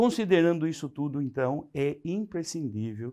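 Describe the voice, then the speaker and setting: Dark and mellow in tone, a man speaks at a fairly slow pace with very wide pitch swings. The background is quiet. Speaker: agronomy lecturer. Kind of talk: lecture.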